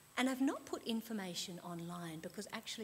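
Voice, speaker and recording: A woman's somewhat breathy, fairly low voice with an Australian accent and ordinary pitch variation. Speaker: librarian and lecturer, conference speaker. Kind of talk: conference talk. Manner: fast.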